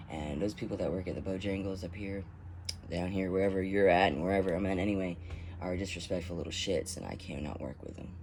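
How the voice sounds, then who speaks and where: A man with a very deep, low voice speaks at a fairly quick pace. Audible room echo surrounds his voice. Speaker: vlogger. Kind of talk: casual chat. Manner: halting.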